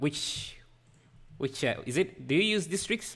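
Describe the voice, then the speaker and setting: With a non-native accent, a man speaks in very wide pitch swings on a very clean recording with a silent background. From Africa. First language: not English. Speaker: 3D artist livestreamer. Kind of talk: live stream tutorial chat. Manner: halting.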